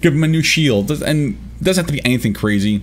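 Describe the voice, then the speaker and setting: Rushing at a very fast pace, a man's voice makes very wide pitch swings over noticeable background noise. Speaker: gaming youtuber. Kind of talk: video commentary. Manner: hesitant, many fillers.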